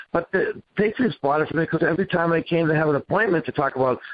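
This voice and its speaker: In a Boston accent, a man talks at a very fast pace with a fairly high pitch and ordinary pitch variation. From Boston area, New England. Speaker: business owner. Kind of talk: interview. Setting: radio show.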